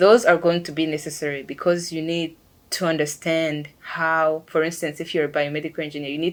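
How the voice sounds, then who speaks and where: A woman's very deep, low voice with a non-native accent, fairly quick pace and monotone, flat intonation. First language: not English. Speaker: engineer. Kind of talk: interview monologue. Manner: hesitant with fillers.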